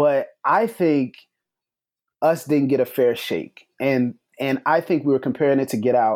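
On a very clean recording with a silent background, a man with an American accent speaks slowly-ish, at a fairly slow pace, in a plain, everyday voice, fairly high in pitch with ordinary pitch variation. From Florida Panhandle, Pensacola. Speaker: podcast host and writer. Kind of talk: casual panel discussion.

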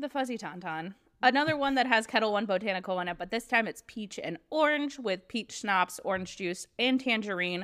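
On a very clean recording with a silent background, a woman speaks in an ordinary speaking voice, her fairly high pitch moving with lively intonation at a fairly quick pace. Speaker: podcast host. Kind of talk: casual chat.

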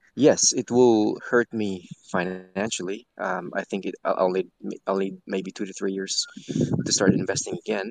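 A man speaks in a plain, everyday voice at a fairly low pitch. His pace is fairly slow and his intonation fairly even. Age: 30s. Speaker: caller. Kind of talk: casual chat.

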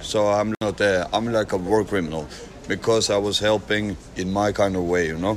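Over noticeable background noise, a man talks at a moderate pace, his fairly low voice keeping a fairly even intonation. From Norway. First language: Norwegian. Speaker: foreign volunteer fighter. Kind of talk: street interview. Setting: outdoors at a train station. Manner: halting.

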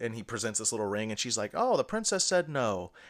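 The recording is very clean, with a silent background. A man speaks in an unremarkable speaking voice, at medium pitch and with ordinary pitch variation. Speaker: podcast co-host. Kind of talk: casual chat.

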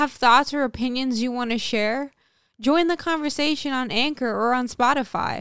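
A woman speaks at a high pitch and a moderate pace in an American accent. The recording is very clean with a silent background, dry and close with no echo. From St. Martin, Caribbean. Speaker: model and creative. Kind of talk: casual chat.

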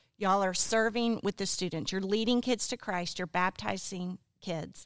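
This woman has a plain, everyday voice at a medium pitch, with ordinary pitch variation and a moderate pace. The recording is very clean, with a silent background. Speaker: pastor's wife and guest. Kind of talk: casual chat.

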